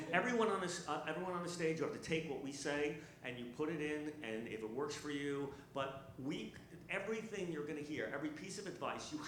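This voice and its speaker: There is noticeable background noise and audible room echo as a man with a fairly high pitch talks at a fairly quick pace. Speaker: stand-up comedian. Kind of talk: panel discussion. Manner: animated.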